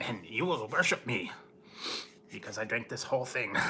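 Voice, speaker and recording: A man at medium pitch performs a put-on character voice. Clear background noise is audible. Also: moderate pace. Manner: manic, commanding.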